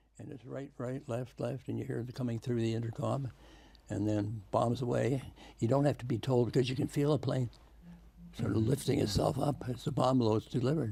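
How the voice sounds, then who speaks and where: This man has a Canadian accent and a medium-pitched voice with a dark, mellow tone. Vocal fry runs through his speech. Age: 80s+. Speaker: war veteran. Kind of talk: interview answer.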